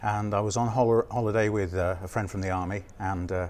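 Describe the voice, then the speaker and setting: Speaking at a fairly quick pace with an English accent, a man keeps a fairly low pitch and ordinary pitch variation. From England, Nottinghamshire. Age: 40s. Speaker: novelist. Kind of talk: interview.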